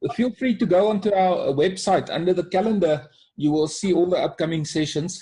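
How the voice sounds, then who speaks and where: Fairly quick in pace, a man speaks with a high pitch, ordinary pitch variation, a dark, mellow tone and very even loudness. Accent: South African. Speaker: life coach. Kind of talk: webinar presentation.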